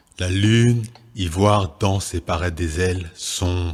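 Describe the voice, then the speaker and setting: This man's very deep, low voice is somewhat breathy and fairly even in intonation, moving at a very slow pace. The recording is very clean, with a silent background. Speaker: poet. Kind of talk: spoken word poetry declamation.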